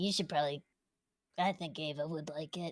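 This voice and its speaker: In a put-on character voice, a female-sounding speaker talks at a fairly quick pace with a raspy, very deep, low pitch. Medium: actual play. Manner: brash, playful.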